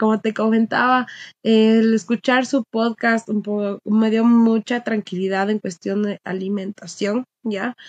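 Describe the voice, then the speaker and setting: Very slowly, a woman talks at a fairly high pitch. The sound is dry with no echo. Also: quiet background. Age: 20s. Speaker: recruiter and dog owner; podcast guest. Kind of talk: casual interview chat. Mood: relaxed, smiling. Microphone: webcam.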